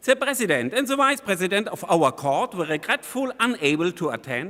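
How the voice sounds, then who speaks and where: Projecting a raised voice in a German accent, a man talks at a fairly quick pace with a high pitch. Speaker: constitutional court judge. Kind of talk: conference speech. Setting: conference hall with audience. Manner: formal.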